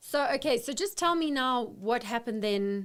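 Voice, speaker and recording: A woman with an ordinary speaking voice and lively intonation at a moderate pace, on a very clean recording with a silent background. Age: 40s. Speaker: podcast host, interviewer. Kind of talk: interview conversation. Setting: live stream recording.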